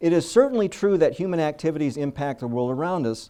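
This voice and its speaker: Against a quiet background, a man speaks fairly quickly in a dark, mellow tone. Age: 60s. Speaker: invited speaker. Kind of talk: faith-based presentation to a meeting. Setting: meeting venue with audience. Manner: halting, repeats words.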